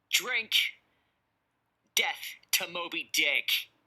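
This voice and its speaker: A man shouting in a put-on character voice, extremely high in pitch. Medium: read story. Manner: shouting, intense.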